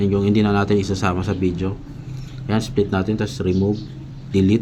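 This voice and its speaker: There is noticeable background noise as a man speaks at a fairly quick pace. His intonation is monotone and flat. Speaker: video tutorial creator. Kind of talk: tutorial. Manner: halting, many fillers.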